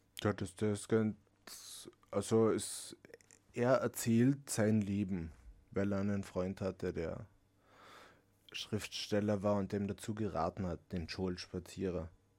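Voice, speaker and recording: In a very clean recording with a silent background, a man speaks very slowly with long, frequent pauses. His voice is fairly low with a dark, mellow tone and fairly even intonation. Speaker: book reviewer. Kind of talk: casual chat.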